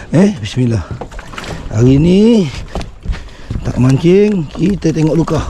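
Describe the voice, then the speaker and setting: Against noticeable background noise, a man with a fairly high pitch speaks very slowly, with very wide pitch swings and long, frequent pauses. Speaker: fishing vlogger. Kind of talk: casual vlog commentary. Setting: outdoors by a river. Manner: animated.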